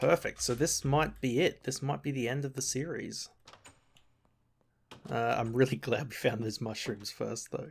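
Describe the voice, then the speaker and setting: A man with a medium pitch and vocal fry speaks at a moderate pace, with ordinary pitch variation and long, frequent pauses. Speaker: gaming video creator. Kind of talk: gameplay commentary. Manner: animated.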